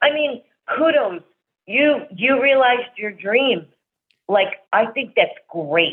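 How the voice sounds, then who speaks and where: A woman's high voice in a New Jersey accent, very slow, with lively intonation and long, frequent pauses. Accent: New Jersey American. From New Jersey, US. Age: 60s. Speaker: rock band fan. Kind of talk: casual interview chat.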